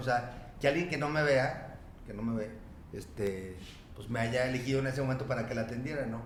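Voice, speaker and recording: Over noticeable background noise and audible room echo, a man speaks at a fairly quick pace with fairly even intonation. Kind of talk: casual interview chat. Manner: fast; halting, many repetitions.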